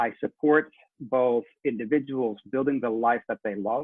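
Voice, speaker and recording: Speaking at a fairly slow pace, this man has a medium-pitched voice and a slight Dutch accent. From Netherlands. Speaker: leadership coach and trainer. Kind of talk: interview.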